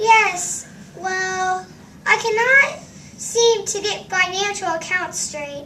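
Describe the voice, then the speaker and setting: A woman speaks in a put-on character voice, squeaky and extremely high-pitched, with lively intonation, big swings in loudness, a very slow pace and clear background noise. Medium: stage play. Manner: confused, formal.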